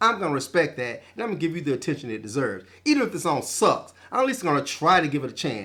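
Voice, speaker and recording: A man talks very fast in a bright, sharp, animated tone, with vocal fry. His pitch swings very widely. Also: hardly any pauses, very clean recording, silent background. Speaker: music commentary vlogger. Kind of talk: casual monologue.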